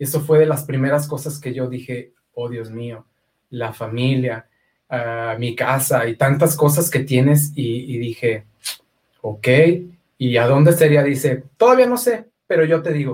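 Somewhat breathy, the speech unfolds at a fairly slow pace. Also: man, medium pitch for a man, ordinary pitch variation. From Mexico, Aguascalientes. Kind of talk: testimony.

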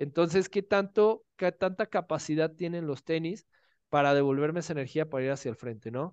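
An unremarkable speaking voice with ordinary pitch variation comes through a dry, close sound with no echo against a quiet background. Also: man, fairly high pitch for a man, fairly quick pace. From Mexico, Guadalajara. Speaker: running and triathlon coach. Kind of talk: interview.

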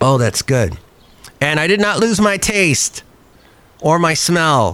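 A man is speaking. His pace is moderate. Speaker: podcast host. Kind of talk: casual chat.

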